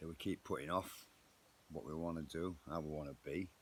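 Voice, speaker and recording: This man talks at a moderate pace in a very deep, low voice with vocal fry and fairly even intonation. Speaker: motivational vlogger. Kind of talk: motivational monologue. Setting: outdoors in garden.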